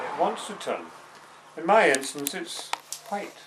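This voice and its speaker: A man with a west of Scotland accent and lively intonation, over audible room echo and noticeable background noise. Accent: Scottish (west of Scotland). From Scotland, Paisley in Renfrewshire. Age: 60s. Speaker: interviewee on a holiday video. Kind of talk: mock interview, playful banter. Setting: holiday cottage. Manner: mock-formal, pompous.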